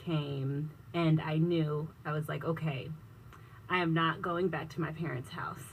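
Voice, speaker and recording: Somewhat breathy, this woman speaks with a very deep, low pitch and fairly even intonation. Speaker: business technology consultant. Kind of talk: radio interview.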